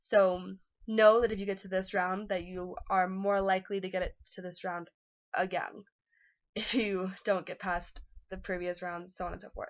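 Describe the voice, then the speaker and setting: Against a quiet background, a woman's voice shows big swings in loudness. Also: medium pitch for a woman. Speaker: vlogger sharing audition experience. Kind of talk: casual chat. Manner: fast; animated.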